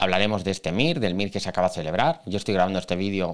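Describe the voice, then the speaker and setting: The pace of this speech is very fast. The background is quiet. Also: man. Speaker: exam prep teacher. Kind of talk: video commentary on exam. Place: office. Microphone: studio mic.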